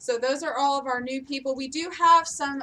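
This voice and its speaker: A woman's high, raised and projected voice, bright and sharp in tone, with fairly even intonation. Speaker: company staff presenting town hall announcements. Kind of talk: company town hall announcements. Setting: live-streamed meeting with audience. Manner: loud; hesitant, many filler ums.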